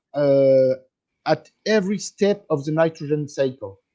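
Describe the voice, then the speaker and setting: A man with a French accent speaks at a fairly slow pace in a dark, mellow tone. His pitch is fairly high, with ordinary variation. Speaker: product company representative. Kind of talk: interview. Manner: halting, hesitant.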